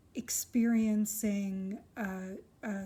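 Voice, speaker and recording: A woman's medium-pitched voice comes through with monotone, flat intonation against noticeable background noise. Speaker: crystal healer. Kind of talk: casual monologue vlog. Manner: halting, many fillers.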